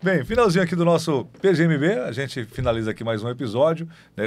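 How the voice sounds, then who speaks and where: This man talks at a fairly quick pace, his fairly high voice rising and falling in very wide pitch swings. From southern Bahia, Brazil. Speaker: podcast host. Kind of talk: casual chat.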